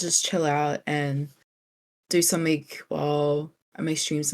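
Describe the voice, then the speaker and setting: Using a very deep, low pitch and a relaxed tone, a woman speaks with a New Zealand accent at a fairly slow pace. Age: 20s. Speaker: streamer. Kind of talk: interview.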